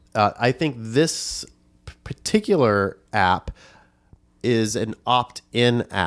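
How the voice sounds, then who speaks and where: A man speaks at a very slow pace and medium pitch with lively intonation. The recording is very clean, with a silent background. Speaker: podcast host.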